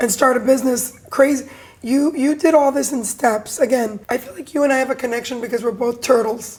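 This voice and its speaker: A woman talks at a high pitch over noticeable background noise. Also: fairly quick pace. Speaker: podcast host. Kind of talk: podcast interview questions.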